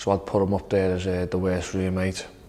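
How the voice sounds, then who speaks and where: A man with an English accent speaks in a very deep, low pitch. His intonation is monotone and flat. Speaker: professional footballer. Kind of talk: interview to camera. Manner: loud.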